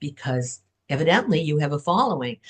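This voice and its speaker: A somewhat breathy woman's voice. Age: 70s. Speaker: author. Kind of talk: podcast interview.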